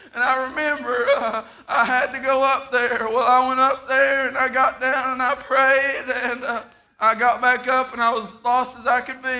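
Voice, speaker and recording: A man's raised, projected voice, extremely high in pitch for a man, with monotone, flat intonation. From Appalachian Kentucky, Harlan. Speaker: guest preacher. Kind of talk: sermon with personal testimony. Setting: church service. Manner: halting, frequent uh and repeated words.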